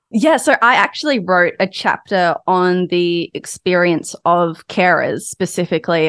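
A woman speaks in an Australian accent with a fairly low pitch. The sound is dry and close with no echo. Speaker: journalist and author. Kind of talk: interview.

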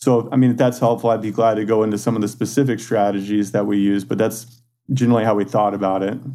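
Using a monotone, flat intonation and a dark, mellow tone, the speaker races along at a very fast pace with an American accent. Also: man. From Texas, San Antonio. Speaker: e-commerce founder. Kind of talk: interview.

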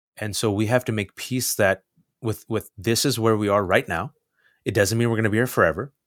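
A man has an ordinary speaking voice, fairly low, with fairly even intonation at a fairly quick pace. The recording is very clean with a silent background. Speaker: journalist and commentator. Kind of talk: casual interview.

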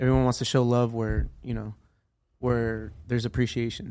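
A man with a plain, everyday voice and an American accent talks at medium pitch and a moderate pace on a very clean recording with a silent background. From San Diego, California. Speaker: dispensary assistant manager.

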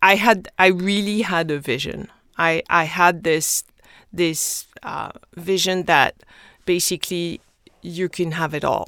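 Speaking very slowly in a French accent, a woman has a fairly low pitch, a bright, sharp tone and fairly even intonation on a very clean recording with a silent background. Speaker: skincare company founder. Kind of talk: interview.

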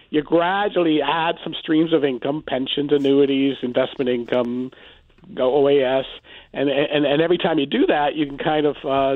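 A man with a Canadian accent and an ordinary speaking voice talks at a moderate pace with a fairly high pitch. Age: 60s. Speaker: personal finance author. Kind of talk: radio interview.

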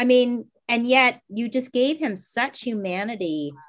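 The voice belongs to a woman and is high in pitch. She speaks at a fairly slow pace. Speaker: screenwriter and podcast host. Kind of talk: casual interview.

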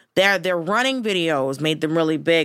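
A woman with an American accent talks at a very fast pace in a very clean recording with a silent background. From US South. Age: 40s. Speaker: comedian. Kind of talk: casual chat.

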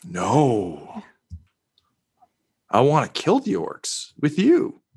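A very slow, put-on character voice from a man, pitched fairly high. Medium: actual play. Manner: coaxing, persuasive.

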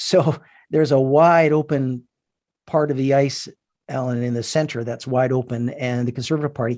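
A man with a Canadian accent speaks in a plain, everyday voice at a medium pitch, with ordinary pitch variation, a fairly quick pace and a quiet background. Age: 60s. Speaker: businessman and political advocate. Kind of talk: radio interview. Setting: phone call.

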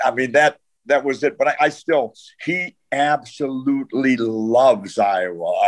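This man's pitch sits fairly high and swings very widely. The sound is dry and close, with no echo. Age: 70s. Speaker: retired football coach. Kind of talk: casual interview chat.

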